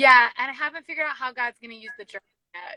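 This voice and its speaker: Her tone is bright and sharp as a woman with an American accent speaks with ordinary pitch variation. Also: dry, close sound with no echo. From rural town called Quincy, US. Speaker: youth ministry director. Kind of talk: casual interview.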